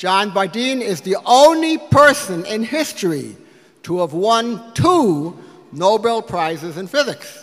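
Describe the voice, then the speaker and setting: Using very wide pitch swings, a man with an American accent talks at a very slow pace. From US Midwest, Detroit. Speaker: physics professor. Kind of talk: speech to donors at a lunch. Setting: lunch event with audience. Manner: halting at times.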